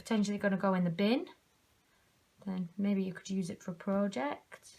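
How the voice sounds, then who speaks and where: A woman's somewhat breathy, medium-pitched voice with a British accent, ordinary pitch variation and a moderate pace. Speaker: craft tutor. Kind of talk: tutorial. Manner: quiet while concentrating; casual.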